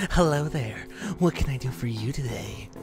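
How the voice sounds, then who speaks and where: A put-on character voice speaks at a low-to-middle pitch and a moderate pace. Clear music plays in the background. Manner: creepy, pervy.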